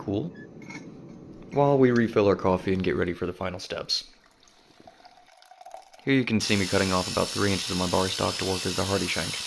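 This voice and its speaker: Very fast and fairly low in pitch, a man talks with ordinary pitch variation over noticeable background noise. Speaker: blacksmith. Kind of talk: humorous tutorial voice-over. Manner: dry, wry humor.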